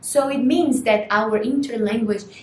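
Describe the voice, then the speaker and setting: With a Portuguese accent, a woman speaks at a very slow pace and a fairly high pitch. Her intonation is lively, and background noise is noticeable. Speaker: language student. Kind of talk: lecture.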